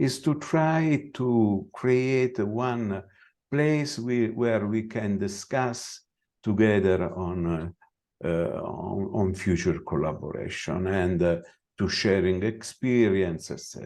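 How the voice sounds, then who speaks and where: A man with a fairly low pitch and lively intonation, at a very slow pace. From Italy. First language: Italian. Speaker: veterinary scientist. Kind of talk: conference presentation. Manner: halting.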